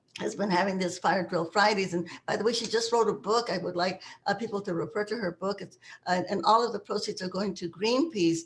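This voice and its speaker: Somewhat breathy woman's voice with ordinary pitch variation. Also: medium pitch for a woman, fairly quick pace. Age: 80s+. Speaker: activist. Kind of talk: interview. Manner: halting.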